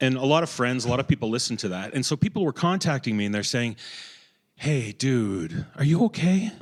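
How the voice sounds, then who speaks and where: The speaker talks at a fairly quick pace with a Canadian accent. The pitch swings very widely. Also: man. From Canada. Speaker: horror podcast host. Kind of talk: casual chat.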